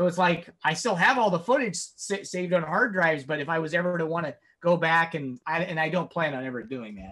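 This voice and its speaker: A man with an American accent talks at a fairly quick pace, his high voice bright and sharp with lively intonation. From Nebraska, small town. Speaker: independent horror filmmaker. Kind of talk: interview. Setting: video call.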